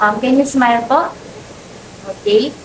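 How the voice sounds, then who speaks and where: Amid noticeable background noise, a woman with a Filipino accent speaks fairly slowly at a high pitch with ordinary pitch variation. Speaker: nursing student. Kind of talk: skills demonstration. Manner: halting.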